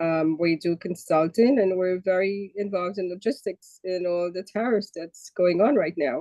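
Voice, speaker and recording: Speaking with a New York accent, a woman uses a medium pitch and ordinary pitch variation. Her pace is moderate, with hardly any pauses. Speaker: customs broker. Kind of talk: casual chat.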